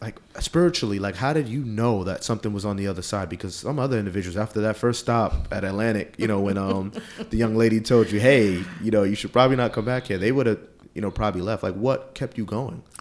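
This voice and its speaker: This man talks very fast in a New York accent at a fairly low pitch. His pitch varies in an ordinary way. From Queens, New York. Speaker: podcast host. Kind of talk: interview.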